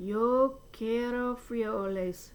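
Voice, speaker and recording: Over light background noise, a woman does a growling, put-on character voice at a fairly high pitch with fairly even intonation. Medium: read story. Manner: growling, grave.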